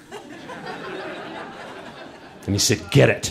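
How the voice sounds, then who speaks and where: A man is speaking. His voice has vocal fry. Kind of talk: live storytelling performance. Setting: live audience on stage.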